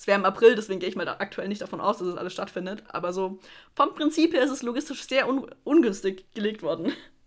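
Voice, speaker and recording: Her medium-pitched voice racing at a very fast pace, a woman speaks with big swings in loudness. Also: lively intonation. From Middle Franconia, Germany. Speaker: music podcast co-host, student. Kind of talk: casual chat.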